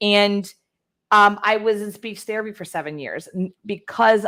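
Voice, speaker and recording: A woman with an American accent has a bright, sharp tone. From Texas (Houston). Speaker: influencer strategist and author. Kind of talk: interview. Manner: articulate.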